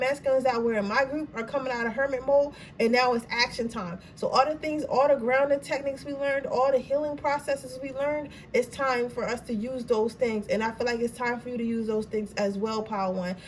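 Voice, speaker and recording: There is noticeable background noise as a woman talks at a fairly quick pace. Her high voice shows ordinary pitch variation. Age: 20s. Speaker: tarot card reader. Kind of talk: tarot reading. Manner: stutter; casual, animated.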